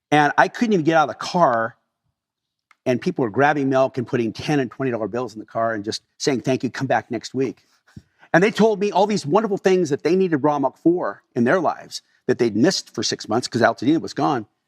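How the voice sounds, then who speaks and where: In a Californian accent, a man with a fairly high voice talks at a fairly quick pace with very wide pitch swings, the sound dry and close with no echo. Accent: General American (Californian). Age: 60s. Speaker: dairy farmer. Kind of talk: interview storytelling. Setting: on his farm.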